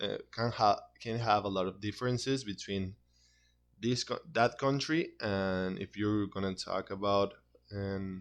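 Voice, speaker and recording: In a Spanish accent, a man speaks at a fairly slow pace and fairly low pitch, with fairly even intonation against a quiet background. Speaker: university student. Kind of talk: class presentation. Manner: halting, with frequent repetitions.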